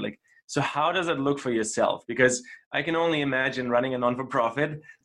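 With a normal speaking voice, a man talks at a fairly quick pace and medium pitch, showing ordinary pitch variation. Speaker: podcast host. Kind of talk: interview.

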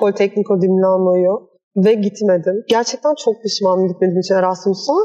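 A woman speaks with a dark, mellow tone. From Istanbul, Turkey. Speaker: architect and workshop founder. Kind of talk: interview. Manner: hesitant, many fillers.

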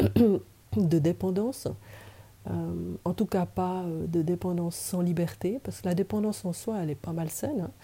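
A somewhat breathy woman, dark and mellow in tone, fairly low-pitched, at a very slow pace. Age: 60s. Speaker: social educator. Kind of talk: testimony.

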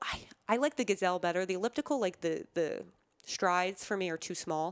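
In an American accent, a woman speaks in a normal speaking voice at a medium pitch with lively intonation, the sound dry and close with no echo on a very clean recording with a silent background. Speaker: cancer survivor, former college athlete. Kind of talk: interview.

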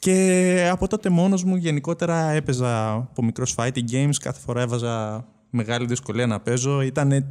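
An unremarkable speaking voice from a man of medium pitch, with lively intonation at a moderate pace, hardly any pauses, and a very clean recording with a silent background. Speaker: esports tournament organizer. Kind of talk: casual chat. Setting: studio.

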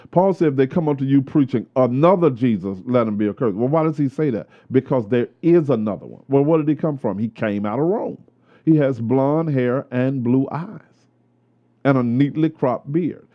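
Medium male pitch, ordinary pitch variation and an ordinary speaking voice. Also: moderate pace. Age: 50s. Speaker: pastor. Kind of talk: casual chat. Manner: preachy.

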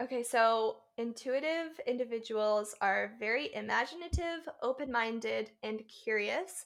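At a fairly slow pace, a woman talks in an ordinary speaking voice, fairly high in pitch with ordinary pitch variation. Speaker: podcast co-host. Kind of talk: casual chat.

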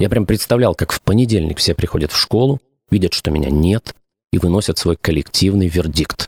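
The speaker's somewhat breathy voice has long, frequent pauses, in a dry, close sound with no echo. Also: man. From Ukraine. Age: 40s. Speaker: podcast host, former radio and TV presenter. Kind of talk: scripted narration.

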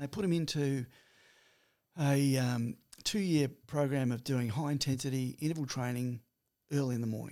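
A man with an Australian accent speaks at a moderate pace in a dark, mellow tone with ordinary pitch variation. He leaves long, frequent pauses. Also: medium pitch for a man. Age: 60s. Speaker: personal trainer and health speaker. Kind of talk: casual chat.

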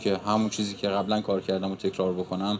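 This man's speech moves very fast. The voice sits fairly low in pitch. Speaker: musician and surgeon. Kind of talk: interview.

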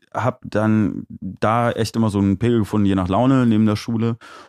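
A man's dark, mellow voice keeps fairly even intonation in a very clean recording with a silent background. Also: very even loudness, dry, close sound with no echo. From Aachen, Germany. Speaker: DJ and music producer. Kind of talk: casual interview. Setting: live stream studio.

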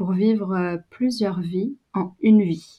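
A woman with a dark, mellow tone speaks at a medium pitch with ordinary pitch variation against a quiet background. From France, Brittany. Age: 20s. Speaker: photographer and video producer. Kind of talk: casual interview. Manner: hesitant, many fillers.

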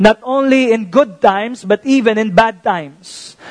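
Here a man speaks at a high pitch with ordinary pitch variation and a fairly slow pace. The sound is dry and close, with no echo. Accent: Filipino. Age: 30s. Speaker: pastor. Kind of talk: sermon. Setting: church.

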